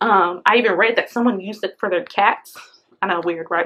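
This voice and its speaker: At a fairly quick pace, a woman talks in a normal speaking voice with fairly even intonation. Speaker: parenting vlogger. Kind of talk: product review vlog. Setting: at home beside her baby.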